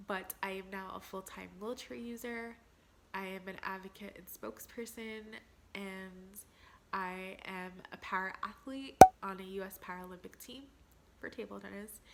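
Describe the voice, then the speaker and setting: A woman's medium-pitched voice at a moderate pace, with fairly even intonation, big swings in loudness, long, frequent pauses and noticeable background noise. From New Jersey, US. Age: 30s. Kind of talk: casual Q&A vlog.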